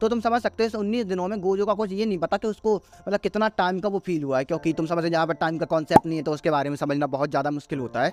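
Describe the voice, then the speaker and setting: Dry, close sound with no echo carries a man's high voice. His pitch varies in an ordinary way, and he leaves hardly any pauses. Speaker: anime/manga explainer YouTuber. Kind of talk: manga chapter explanation, casual. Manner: casual, conversational.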